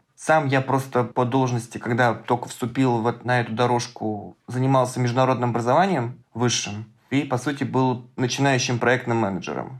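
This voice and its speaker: A plain, everyday voice from a man at medium pitch, moderate in pace, with hardly any pauses, very even loudness and fairly even intonation. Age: 30s. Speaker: data science student, hackathon participant. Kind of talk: casual interview chat.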